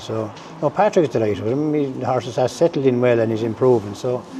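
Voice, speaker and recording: In an Irish accent, a man talks at a very fast pace over noticeable background noise. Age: 60s. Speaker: racehorse and greyhound trainer. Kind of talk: interview. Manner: halting, full of fillers.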